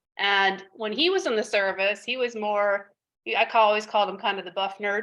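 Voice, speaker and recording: Speaking at a fairly quick pace with an American accent, a woman has a bright, sharp tone and fairly even intonation. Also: medium pitch for a woman. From Texas. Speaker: Air Force veteran. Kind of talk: interview.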